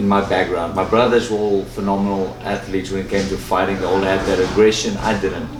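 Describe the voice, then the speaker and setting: A man with a South African accent speaks in a fairly low, monotone, flat voice, with noticeable background noise and audible room echo. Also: fairly quick pace, hardly any pauses. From South Africa, Johannesburg. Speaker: professional boxer. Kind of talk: interview.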